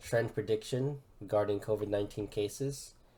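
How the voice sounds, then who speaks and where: Soft-spoken and somewhat breathy, a man talks at a fairly slow pace. His pitch is fairly low. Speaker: university engineering student. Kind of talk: class lab presentation.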